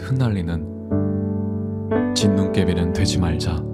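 Loud background noise fills the recording. Over it, a man speaks at a very slow pace. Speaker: poetry reader. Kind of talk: poetry reading. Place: studio. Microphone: studio mic.

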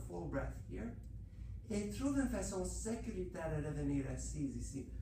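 A woman talks in a calm tone at a fairly slow pace. Light background noise and audible room echo are present. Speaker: Pilates instructor. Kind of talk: bilingual exercise class, guided instruction. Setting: studio. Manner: calm, cue-by-cue, instructional, repeating each cue in French then English; slightly halting, with fillers like uh and um. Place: gym. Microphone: camera far.

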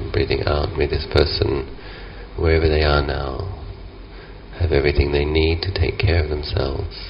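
A man with a very deep, low pitch speaks at a moderate pace with ordinary pitch variation, taking long, frequent pauses over light background noise. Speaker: meditation teacher. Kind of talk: guided meditation. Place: garden.

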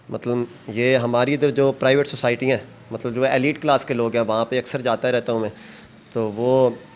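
With monotone, flat intonation, a man of medium pitch speaks at a moderate pace. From Pakistan, rural Punjab. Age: 30s. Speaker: singer and charpai weaver; interviewee. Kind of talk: casual interview. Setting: outdoors in a village. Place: workshop. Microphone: handheld.

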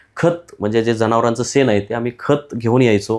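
With an ordinary speaking voice, a man talks at a fairly low pitch and ordinary pitch variation on a very clean recording with a silent background. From western Maharashtra, Satara district. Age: 40s. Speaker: journalist, news channel host. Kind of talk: solo commentary to camera.

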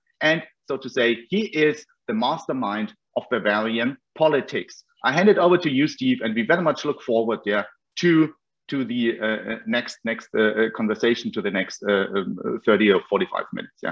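A man with a German accent speaks at a moderate pace with lively intonation over a quiet background. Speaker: foundation representative. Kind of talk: opening remarks. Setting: video call. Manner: hesitant, frequent yeah fillers. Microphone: video call.

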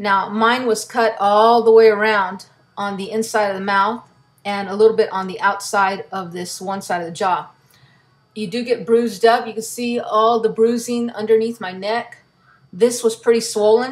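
A woman talks at a moderate pace with fairly even intonation. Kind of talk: casual vlog chat. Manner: careful, stiff speech from a swollen jaw. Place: home room. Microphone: webcam.

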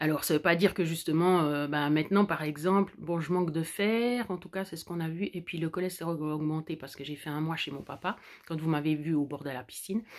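A woman speaks at a fairly quick pace with a fairly low pitch and ordinary pitch variation. The background is quiet. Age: 40s. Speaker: vlogger. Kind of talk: personal vlog monologue. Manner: halting. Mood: warm, content, reflective. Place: home room. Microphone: phone near.

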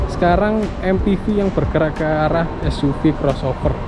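A man speaks with ordinary pitch variation. Music plays behind him, and the sound is dry with no echo. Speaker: presenter. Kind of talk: casual car review walkaround. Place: street. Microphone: phone near.

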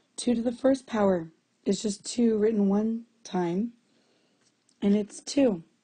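Her fairly high, somewhat breathy voice has a dark, mellow tone and ordinary pitch variation. She talks at a fairly slow pace with long, frequent pauses. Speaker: math teacher. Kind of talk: tutorial. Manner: casual, conversational.

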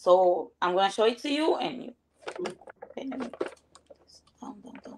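Lively in intonation, a woman with a Venezuelan accent speaks high-pitched at a moderate pace, with big swings in loudness and long, frequent pauses. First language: Spanish. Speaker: viewer on a live stream. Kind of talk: casual chat. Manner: halting.

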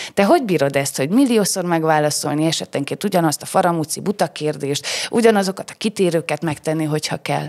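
With a very deep, low pitch and ordinary pitch variation, a woman speaks at a very fast pace with hardly any pauses against a quiet background. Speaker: podcast host. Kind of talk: casual interview. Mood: warm, curious. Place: studio. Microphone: studio mic.

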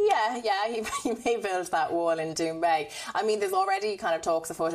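A woman with an Irish accent. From Ireland. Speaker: news reporter. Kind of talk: live news report. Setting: on location, remote link. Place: home room. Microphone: lapel.

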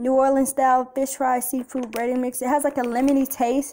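This woman speaks at a high pitch. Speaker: home cook vlogger. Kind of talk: casual vlog tutorial. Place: kitchen. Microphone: phone near.

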